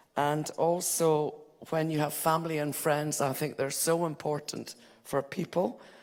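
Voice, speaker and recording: With a Hebridean accent, a woman talks at a fairly slow pace in a very deep, low pitch and a monotone, flat intonation. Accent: Hebridean Scottish. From Scotland, Isle of Lewis. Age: 70s. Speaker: conference delegate. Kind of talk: audience contribution. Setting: conference hall with audience.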